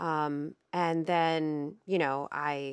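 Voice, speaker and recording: Recorded dry and close with no echo and a very clean, silent background, a woman speaks with an American accent. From northern Ohio, US. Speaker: therapist and podcast host. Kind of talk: casual conversation, educational podcast.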